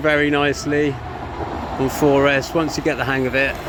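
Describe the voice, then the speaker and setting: The speaker has an English accent and keeps a moderate pace. Noticeable background noise runs underneath. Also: man. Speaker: RC hobby reviewer. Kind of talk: live commentary. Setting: outdoors. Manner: loud.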